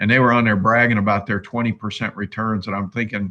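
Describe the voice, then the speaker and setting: The man's voice sits at a fairly low pitch. Its tone is bright and sharp. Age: 60s. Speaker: investing YouTuber. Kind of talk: live stream chat. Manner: casual, rambling with fillers.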